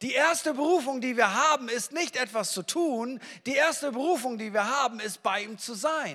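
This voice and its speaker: Raised and projected, a man's voice has an extremely high pitch and a bright, sharp tone, with ordinary pitch variation at a moderate pace. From northern Germany. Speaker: pastor. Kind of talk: sermon. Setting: church. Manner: animated.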